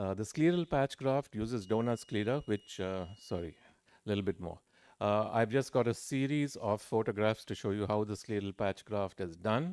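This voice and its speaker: A man's fairly low voice with ordinary pitch variation, dry and close with no echo, on a very clean recording against a silent background. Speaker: ophthalmology professor and surgeon. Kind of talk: conference lecture. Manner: fast.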